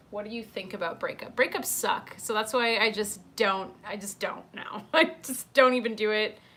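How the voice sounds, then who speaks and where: Noticeable background noise surrounds a woman speaking at a moderate pace in an animated tone. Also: fairly high pitch for a woman, ordinary pitch variation, hardly any pauses. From South Africa in early childhood, then elsewhere. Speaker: YouTuber live-streaming chat with viewers. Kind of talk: casual livestream chat.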